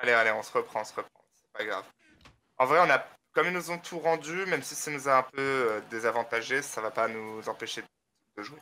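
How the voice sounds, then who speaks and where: A man's bright, sharp tone at a fairly quick pace, with big swings in loudness and long, frequent pauses. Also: medium pitch for a man, ordinary pitch variation. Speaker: gamer. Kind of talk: casual chat.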